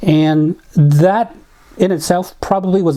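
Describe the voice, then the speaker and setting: The man's voice sits at a fairly high pitch. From Navajo reservation, US Southwest. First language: Navajo. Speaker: community volunteer. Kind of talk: interview testimony. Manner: reflective, with hesitations.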